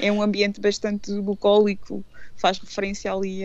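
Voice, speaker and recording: A woman speaks at a moderate pace. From Portugal, Anadia (Aveiro district). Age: 40s. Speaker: radio presenter and blogger. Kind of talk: radio interview. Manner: halting, with many fillers.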